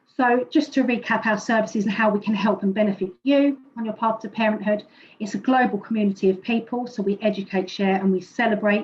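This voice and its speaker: This woman has a British accent and a fairly high, somewhat breathy voice. She moves at a fairly quick pace with fairly even intonation. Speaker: presenter from a fertility support organisation. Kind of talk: presentation. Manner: fast.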